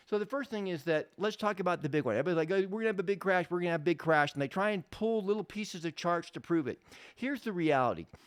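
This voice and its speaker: The speech moves at a very fast pace with lively intonation. The recording is very clean, with a silent background. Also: man, high pitch for a man. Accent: American. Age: 60s. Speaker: real estate investor and educator. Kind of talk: casual monologue podcast.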